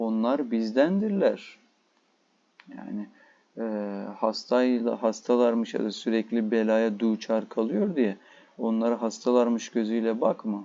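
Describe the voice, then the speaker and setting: A man with a Turkish accent speaks at a moderate pace and medium pitch, his intonation fairly even and broken by long, frequent pauses. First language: Turkish (speaking Persian). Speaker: Persian language teacher. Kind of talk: lecture. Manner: halting.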